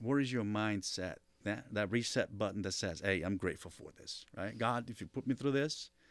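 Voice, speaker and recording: Recorded very cleanly against a silent background, a man with a Brazilian Portuguese accent speaks in a fairly low pitch. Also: ordinary pitch variation, moderate pace. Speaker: marketing executive. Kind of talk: interview.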